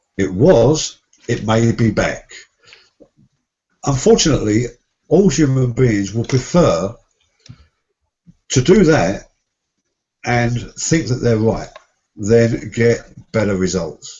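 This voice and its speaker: The voice moves very slowly, with long, frequent pauses. Its intonation is lively and somewhat breathy. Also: man, medium pitch for a man. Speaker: success coach and seminar trainer. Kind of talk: interview conversation.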